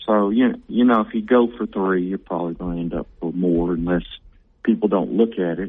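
In a Southern US accent, a man talks at a fairly quick pace. His pitch is very deep and low. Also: ordinary pitch variation. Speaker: city mayor. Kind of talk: interview. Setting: phone call.

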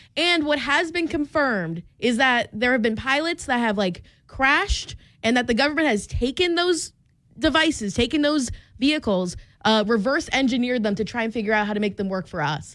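A woman with an American accent speaks high and fairly quickly, with very wide pitch swings, on a very clean recording with a silent background. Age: 20s. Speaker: radio host. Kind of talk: casual chat. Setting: studio.

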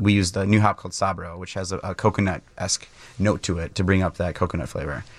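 Speaking with an Upper Midwest accent, a man has a very deep, low pitch. He talks at a very fast pace with fairly even intonation. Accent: Upper Midwest American. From Wisconsin, near Milwaukee. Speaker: brewery owner and brewer. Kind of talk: radio interview. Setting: radio studio.

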